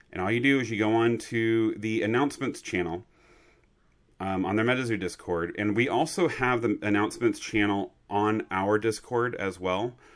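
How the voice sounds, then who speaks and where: On a very clean recording with a silent background, a man with a plain, everyday voice speaks at a moderate pace, medium in pitch with ordinary pitch variation. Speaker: trading card game shop owner, video host. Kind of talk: casual news update video.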